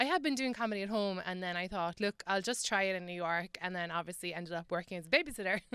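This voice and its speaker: With an Irish accent, a woman at medium pitch talks at a very fast pace with hardly any pauses, her tone bright and sharp and her pitch variation ordinary. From Ireland. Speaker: comedian and writer. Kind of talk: radio interview.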